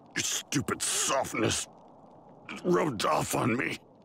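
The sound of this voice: A man's cartoonish character voice at medium pitch, bright and sharp in tone, with lively intonation, vocal fry and a slow pace.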